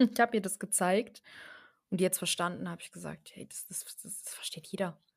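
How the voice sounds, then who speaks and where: A woman speaks at a fairly quick pace in a medium pitch with vocal fry. Her intonation is fairly even, while her loudness swings widely. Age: 20s. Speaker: network marketer, former care worker. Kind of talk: casual podcast interview.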